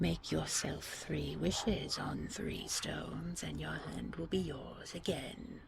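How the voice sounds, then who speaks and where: A woman's raspy, put-on character voice at a fairly slow pace with hardly any pauses. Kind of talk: sleep story. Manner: mellow.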